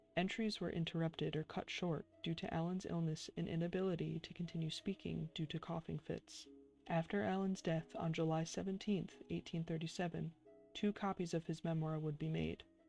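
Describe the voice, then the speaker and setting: Soft-spoken, a woman talks in a fairly low voice with fairly even intonation. Music plays in the background. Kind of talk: ASMR soft-spoken reading.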